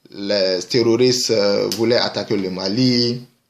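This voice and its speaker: Fairly even intonation and a very slow pace from a man at a medium pitch. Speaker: video blogger. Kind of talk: commentary monologue. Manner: halting.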